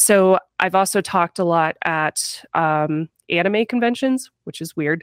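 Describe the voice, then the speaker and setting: A woman with an American accent speaks in a normal speaking voice at a fairly low pitch and a fairly slow pace, with ordinary pitch variation. The recording is very clean, with a silent background and a dry, close sound with no echo. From US Midwest, Missouri. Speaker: tech YouTuber. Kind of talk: casual chat.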